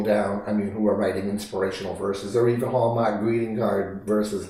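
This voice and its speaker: In a room with audible echo and noticeable background noise, a man with a fairly low pitch talks at a fairly quick pace with hardly any pauses. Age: 70s. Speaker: poet. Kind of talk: interview. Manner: halting, with frequent repetitions.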